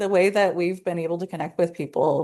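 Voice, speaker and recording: Speaking at a medium pitch, a woman talks with a Southern California accent. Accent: valley girl. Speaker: podcast host. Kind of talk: casual chat. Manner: many filler words.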